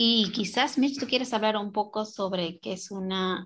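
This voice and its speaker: With a plain, everyday voice, a woman speaks fairly slowly at a medium pitch and ordinary pitch variation, on a very clean recording with a silent background. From Peruvian Andes. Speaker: translator and Quechua community organizer. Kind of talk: casual radio interview.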